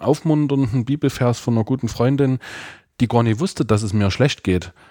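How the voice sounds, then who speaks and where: Ordinary pitch variation marks a plain, everyday voice, captured with a dry, close sound and no echo. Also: man. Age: 30s. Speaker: church youth worker. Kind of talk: casual chat.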